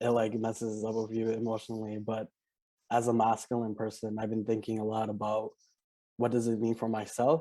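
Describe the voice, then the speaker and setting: His tone dark and mellow, a man talks at a fairly quick pace in a monotone, flat delivery. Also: medium pitch for a man. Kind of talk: panel discussion. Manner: halting, stuttering.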